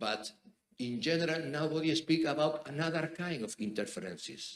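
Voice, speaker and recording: Vocal fry runs through this man's fairly high-pitched voice. He keeps a moderate pace. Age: 60s. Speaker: judge. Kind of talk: audience question at conference. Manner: halting.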